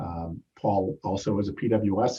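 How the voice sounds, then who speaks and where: A man speaks with a fairly low pitch and a dark, mellow tone. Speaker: chapter president and meeting moderator. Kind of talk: meeting introduction of speakers. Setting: video call webinar. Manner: loud; halting, many fillers.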